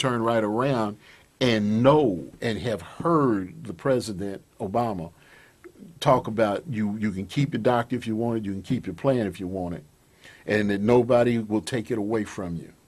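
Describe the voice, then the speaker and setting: Recorded very cleanly against a silent background, a man speaks at a moderate pace with a medium pitch and ordinary pitch variation. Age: 60s. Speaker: conservative radio commentator. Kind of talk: political talk show interview. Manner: halting, many repetitions.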